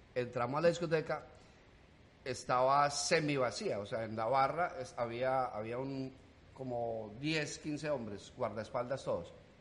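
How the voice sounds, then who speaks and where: A man talks in an animated tone at a fairly slow pace. Background noise is noticeable. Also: medium pitch for a man, ordinary pitch variation. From Colombia, rural. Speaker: comedian. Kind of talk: casual chat.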